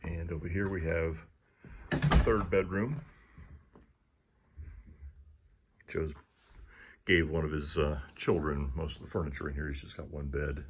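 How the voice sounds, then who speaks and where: A man's very deep, low voice, somewhat breathy, at a fairly slow pace with long, frequent pauses and fairly even intonation. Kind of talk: property walkthrough commentary. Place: home room. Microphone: phone near.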